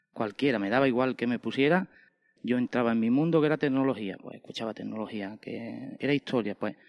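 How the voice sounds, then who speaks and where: In an unremarkable speaking voice, a man talks at a fairly quick pace with medium pitch and ordinary pitch variation, recorded with a dry, close sound, no echo and a quiet background. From Andalusia, Spain (Estepa, Seville province). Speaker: podcaster and printer. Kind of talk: interview.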